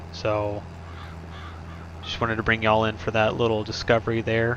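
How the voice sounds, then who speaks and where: A man's voice over noticeable background noise. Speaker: gaming youtuber. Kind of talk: gameplay commentary. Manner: pauses a lot; halting.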